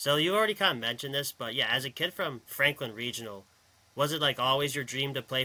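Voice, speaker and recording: A bright, sharp tone with an American accent at a very fast pace, ordinary pitch variation, in a very clean recording with a silent background. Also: man. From Pittsburgh area, US. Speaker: sports podcast host. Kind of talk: podcast interview.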